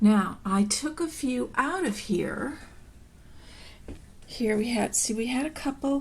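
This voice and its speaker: A woman speaks very slowly in a fairly high voice. Her delivery is somewhat breathy. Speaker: African violet grower and show judge. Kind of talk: casual plant care demonstration.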